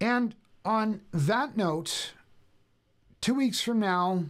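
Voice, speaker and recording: Mumbling with lively intonation, a man is heard on a very clean recording against a silent background. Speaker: safety channel host. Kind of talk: live stream chat. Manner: casual with many fillers.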